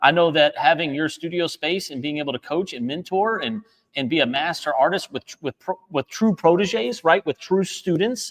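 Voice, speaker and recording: The man's voice is high-pitched, animated and excited, with lively intonation at a moderate pace. He barely pauses, and the sound is dry and close with no echo. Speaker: art instructor and co-founder. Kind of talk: live stream chat. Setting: art studio live stream. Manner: animated, excited; loud.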